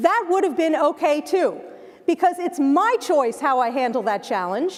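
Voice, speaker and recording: Over noticeable background noise, a woman with a New Jersey accent speaks fairly quickly in a high voice with very wide pitch swings. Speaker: keynote speaker. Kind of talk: keynote speech. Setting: stage with audience. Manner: animated.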